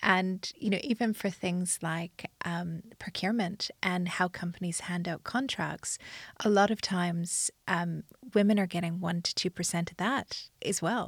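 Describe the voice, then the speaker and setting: A woman's somewhat breathy, medium-pitched voice at a fairly slow pace, with fairly even intonation, in dry, close sound with no echo on a very clean recording with a silent background. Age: 40s. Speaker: podcast host and entrepreneur. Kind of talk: interview conversation. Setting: recording in London.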